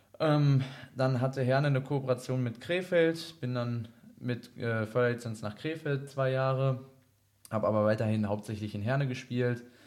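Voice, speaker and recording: An ordinary speaking voice, a man at a medium pitch and moderate pace with fairly even intonation. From Germany, Iserlohn (Sauerland, North Rhine-Westphalia). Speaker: ice hockey goalkeeper. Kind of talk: casual interview.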